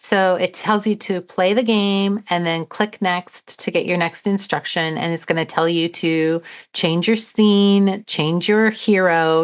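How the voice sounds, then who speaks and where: A normal speaking voice moves at a fairly slow pace with fairly even intonation and hardly any pauses. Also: woman. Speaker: educator presenting coding webinar. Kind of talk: webinar tutorial.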